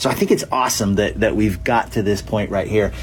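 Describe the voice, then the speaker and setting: A man amid noticeable background noise. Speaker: podcast host interviewer.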